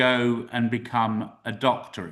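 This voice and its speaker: A man speaks with a British accent. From UK. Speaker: university representative. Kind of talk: webinar presentation. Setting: live-streamed webinar. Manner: casual, upbeat.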